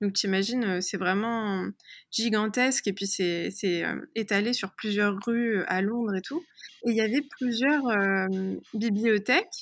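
A woman with a fairly high pitch and ordinary pitch variation speaks very slowly on a very clean recording with a silent background. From France, Paris area. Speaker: personal development coach. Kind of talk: interview. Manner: hesitant, many fillers.

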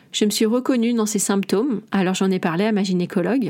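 Very clean and silent in the background, this recording holds a woman with an unremarkable speaking voice. She talks at a medium pitch and a moderate pace. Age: 40s. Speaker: naturopath and podcast host. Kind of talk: solo podcast monologue.

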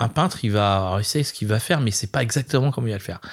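On a very clean recording with a silent background, a man speaks in a somewhat breathy voice with lively intonation. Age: 50s. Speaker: chef and restaurant owner. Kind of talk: casual interview. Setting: restaurant. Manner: animated.

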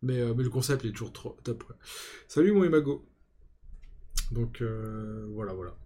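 A man's somewhat breathy, medium-pitched voice, dark and mellow in tone, at a fairly slow pace with ordinary pitch variation and long, frequent pauses. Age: 40s. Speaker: podcast host and fantasy football content creator. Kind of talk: casual chat.

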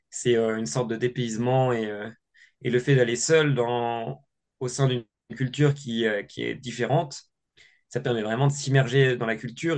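Fairly slow male speech at a medium pitch, its pitch changing in a typical way. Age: 20s. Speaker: adventurer and ski instructor. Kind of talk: interview. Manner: hesitant, many fillers and repetitions.

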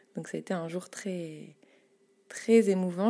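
A woman's dark, mellow, medium-pitched voice at a very slow pace. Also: very clean recording, silent background. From Paris, France. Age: 30s. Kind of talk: casual interview. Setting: home studio.

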